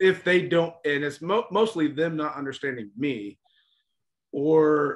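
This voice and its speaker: With an American accent and an ordinary speaking voice, a man talks at a fairly slow pace and fairly high pitch, using ordinary pitch variation. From United States. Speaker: podcast co-host, traveler. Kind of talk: casual chat.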